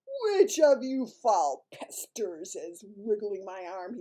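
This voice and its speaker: A gruff, growling, bellowing put-on character voice, female-sounding, at medium pitch for a woman and a fairly slow pace. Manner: bellowing, gruff.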